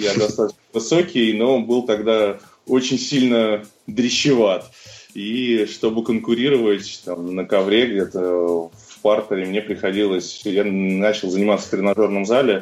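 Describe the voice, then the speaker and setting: A man's normal speaking voice, fairly low in pitch, with ordinary pitch variation at a fairly slow pace. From Russia, Moscow. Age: 30s. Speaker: CrossFit coach and athlete. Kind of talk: interview.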